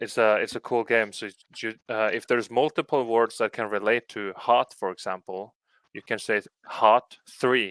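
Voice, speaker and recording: A man with a Norwegian accent, fairly even intonation and big swings in loudness, in a dry, close recording with no echo, very clean and with a silent background. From Norway. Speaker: video podcast host. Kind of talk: casual chat.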